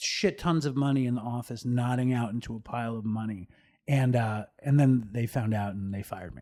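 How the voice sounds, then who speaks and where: In a very clean recording with a silent background, a man with an American accent and an ordinary speaking voice talks fairly quickly at a medium pitch with ordinary pitch variation. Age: 50s. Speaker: podcast host in recovery. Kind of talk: casual chat.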